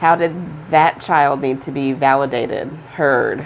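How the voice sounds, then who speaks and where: Fairly slow and with fairly even intonation, a woman speaks over noticeable background noise. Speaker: tarot reader. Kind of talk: tarot reading. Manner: stutters; halting.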